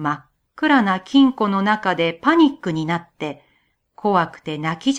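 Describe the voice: Plain reading aloud with lively intonation is heard against a quiet background.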